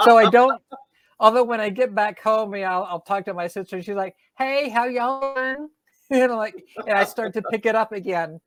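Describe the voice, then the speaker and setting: A woman with an American accent and a fairly high pitch talks at a fairly quick pace with ordinary pitch variation. Her loudness swings widely, and the sound is dry and close with no echo. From US South, Georgia (Atlanta area). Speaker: author. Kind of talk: interview. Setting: podcast.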